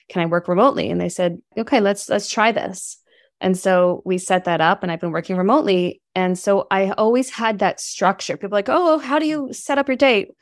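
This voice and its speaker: A woman with a plain, everyday voice and an American accent speaks at a medium pitch and a fairly quick pace with lively intonation, on a very clean recording with a silent background. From New York City. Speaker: herbalist and entrepreneur. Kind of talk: interview.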